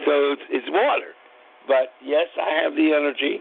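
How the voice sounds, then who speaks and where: A man talks in an animated tone. His pitch is fairly high. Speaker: podcast host. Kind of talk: casual chat.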